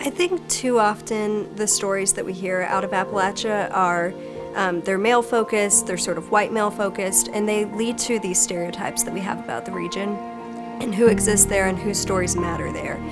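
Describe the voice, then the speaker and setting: With music in the background, a woman speaks at a moderate pace with hardly any pauses. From Appalachia, Kentucky. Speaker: author, attorney. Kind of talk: interview answer.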